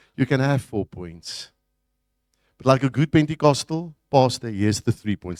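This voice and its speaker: A man with a normal speaking voice, medium pitch and lively intonation at a moderate pace, on a very clean recording with a silent background. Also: dry, close sound with no echo. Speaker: pastor. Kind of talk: sermon.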